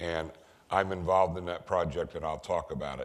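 A man with an American accent talks at a moderate pace in a very deep, low pitch. The background is quiet. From US West Coast. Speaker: technology consultant and speaker. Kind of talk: lecture. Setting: stage with audience. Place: hall. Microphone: podium.

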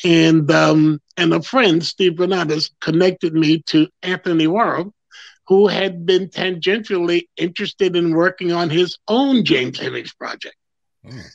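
High-pitched man with ordinary pitch variation, dry sound with no echo and a quiet background. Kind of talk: interview answer. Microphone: video call.

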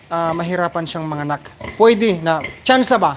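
A high-pitched male voice with ordinary pitch variation amid noticeable background noise. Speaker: pig farmer and farming vlogger. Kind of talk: casual farm vlog with live shout-outs. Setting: outdoors on a pig farm. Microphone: handheld camera, shaky without stand.

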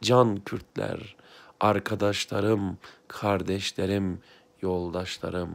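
The man's words arrive at a very slow pace. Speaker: blind aspiring writer, former teacher; former teacher. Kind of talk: heartfelt address to camera. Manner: emotional, impassioned. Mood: heartfelt, conciliatory, emotional. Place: home room. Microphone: phone near.

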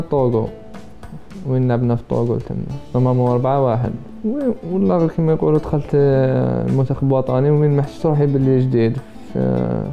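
With faint music in the background, a man talks at a fairly quick pace, with ordinary pitch variation and very even loudness. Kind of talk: interview answer. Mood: relaxed, smiling. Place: home room.

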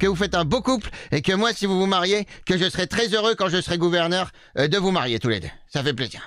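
Putting on a character voice, a man sounds raspy and high-pitched as he talks at a fairly quick pace. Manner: strained, forced.

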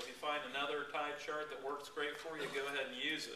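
A man at a fairly quick pace, with audible room echo and noticeable background noise. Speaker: fishing guide giving a talk. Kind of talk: informal talk to a club. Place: meeting room. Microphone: camera far.

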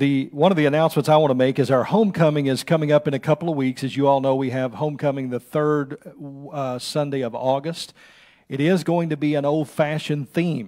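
A man speaks with a dark, mellow tone and fairly even intonation. The background is quiet. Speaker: pastor giving announcements. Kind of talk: church announcements. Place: church. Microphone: podium.

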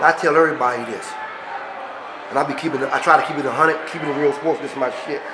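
A man with an American accent speaks at a fairly high pitch with fairly even intonation. Noticeable background noise and audible room echo are present. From Washington D.C. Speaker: former street figure telling stories. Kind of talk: storytelling interview.

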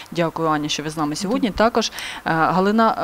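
A woman talks at a medium pitch. She has a plain, everyday voice. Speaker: TV presenter. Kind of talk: interview. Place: studio. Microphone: lapel.

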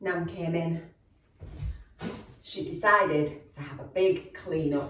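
A woman's fairly low voice at a very slow pace, fairly even intonation, light background noise and audible room echo. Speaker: storyteller. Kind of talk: children's story reading. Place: home room.

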